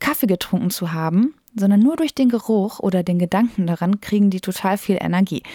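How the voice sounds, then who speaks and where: A woman speaks at a medium pitch with a dark, mellow tone and lively intonation. The sound is dry and close with no echo, and the recording is very clean with a silent background. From Germany, Lippe near Detmold (East Westphalia). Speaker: podcast host, radio journalist. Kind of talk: casual chat.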